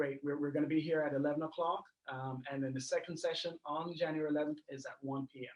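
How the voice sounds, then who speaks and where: The speech comes at a very fast pace in a monotone, flat intonation. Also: man, fairly high pitch for a man. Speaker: real estate business owner. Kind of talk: online show closing announcements.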